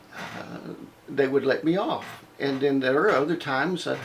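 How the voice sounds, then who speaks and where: Noticeable background noise sits behind the recording. A man talks at a moderate pace with ordinary pitch variation. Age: 60s. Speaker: former Baptist minister. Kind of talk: personal testimony monologue. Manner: hesitant, many fillers.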